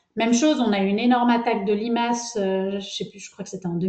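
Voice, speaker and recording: A woman with a dark, mellow tone. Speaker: agronomist researcher. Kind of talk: webinar presentation. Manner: hesitant, many fillers.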